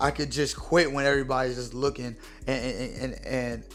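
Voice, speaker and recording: Audible room echo surrounds a man's voice as he talks. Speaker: podcast host. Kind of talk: motivational talk. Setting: podcast with video. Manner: casual, halting with repetitions.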